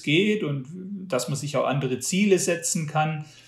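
Pitch varying in an ordinary way, a man speaks at a fairly slow pace. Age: 40s. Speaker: magazine publisher and trail runner. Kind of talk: interview. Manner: hesitant, repeats words.

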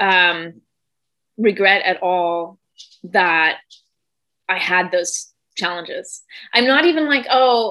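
A woman with a bright, sharp tone and lively intonation. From Germany. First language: German. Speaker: founder of tutoring company. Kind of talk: storytelling in casual chat.

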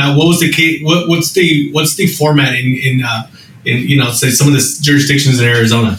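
Fairly quick and very even in loudness, a man's voice sits at a fairly high pitch with ordinary pitch variation. Noticeable background noise runs beneath it. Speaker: co-host, code enforcement colleague. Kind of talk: casual interview.

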